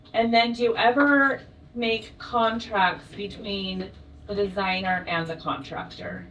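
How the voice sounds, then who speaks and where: A woman speaks fairly slowly at a medium pitch with ordinary pitch variation, with noticeable background noise and audible room echo. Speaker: audience member. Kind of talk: audience question. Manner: loud.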